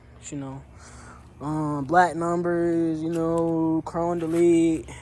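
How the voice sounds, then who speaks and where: Audible room echo surrounds a man speaking in a high voice. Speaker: car vlogger. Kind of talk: casual vlog. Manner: halting, filler-heavy.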